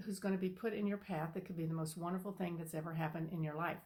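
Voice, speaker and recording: A woman talks in a somewhat breathy voice. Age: 70s. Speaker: spiritual channel host. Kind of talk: casual personal talk to camera. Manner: halting, many fillers.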